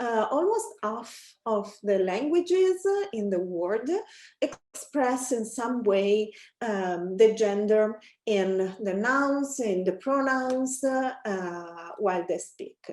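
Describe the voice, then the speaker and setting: A woman with an Italian accent speaks at a very slow pace, her fairly high voice carrying lively intonation. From Italy. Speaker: academic researcher. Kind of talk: academic presentation. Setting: webinar. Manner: many filler hesitations.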